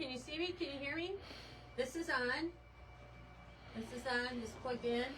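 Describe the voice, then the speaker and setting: A loud, high-pitched woman at a moderate pace, with long, frequent pauses, audible room echo and noticeable background noise. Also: ordinary pitch variation. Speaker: fabric store livestream host. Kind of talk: live stream chat. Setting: in-store livestream.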